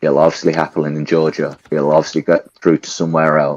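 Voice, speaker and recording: With music in the background, a man with a very deep, low voice speaks at a moderate pace in a strong English accent. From England. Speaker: participant in live audio chat room. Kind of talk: casual discussion. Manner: animated.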